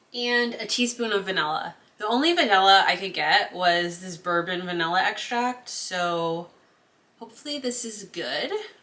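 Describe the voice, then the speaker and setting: With an American accent, a woman talks at a moderate pace in a medium pitch, her pitch varying normally while her loudness swings widely over noticeable background noise. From Connecticut, US. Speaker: cooking vlogger. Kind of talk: casual cooking tutorial. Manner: chatty, talkative.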